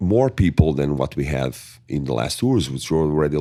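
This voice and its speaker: A man's very deep, low voice with vocal fry and a strong Portuguese accent at a fairly quick pace. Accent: thick Portuguese accent in English. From Portugal. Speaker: metal band singer. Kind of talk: interview. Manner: hesitant, with many fillers.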